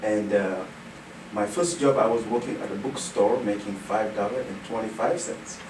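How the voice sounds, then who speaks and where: Over noticeable background noise and audible room echo, a man speaks at a moderate pace in a medium pitch with ordinary variation. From Senegal. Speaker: nonprofit executive director. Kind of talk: radio interview.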